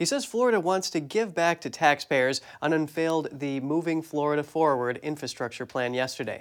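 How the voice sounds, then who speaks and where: In a very clean recording with a silent background, a man speaks fairly quickly with hardly any pauses, using an ordinary speaking voice, a fairly high pitch and ordinary pitch variation. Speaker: news anchor. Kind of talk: news reading. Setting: studio.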